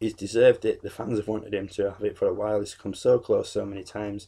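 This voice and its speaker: A man speaks in a British accent. He talks at a very fast pace. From UK. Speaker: YouTuber, wrestling reviewer. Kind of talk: casual video review monologue. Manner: many fillers (um, uh).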